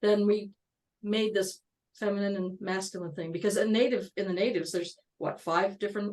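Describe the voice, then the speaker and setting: A woman speaks at a medium pitch in an ordinary speaking voice. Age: 60s. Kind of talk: casual chat.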